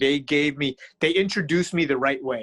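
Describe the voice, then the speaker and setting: A man with an American accent has a plain, everyday voice at a fairly high pitch, with ordinary pitch variation. The recording is very clean, with a silent background. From New York City area, partly California. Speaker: jiu-jitsu instructor and gym owner. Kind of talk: casual interview chat.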